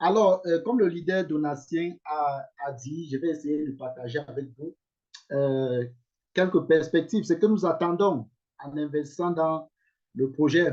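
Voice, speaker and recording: At a fairly slow pace and with long, frequent pauses, a man with an English accent speaks with ordinary pitch variation. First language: English (speaking French). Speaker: investment scheme promoter. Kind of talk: online investment presentation. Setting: video call. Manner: hesitant, many fillers.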